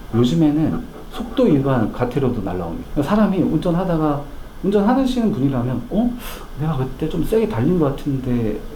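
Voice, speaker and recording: The voice's pitch swings very widely. Noticeable background noise and audible room echo are present. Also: man, fairly high pitch for a man. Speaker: financial planning lecturer. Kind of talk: lecture. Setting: corporate lecture hall. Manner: fast.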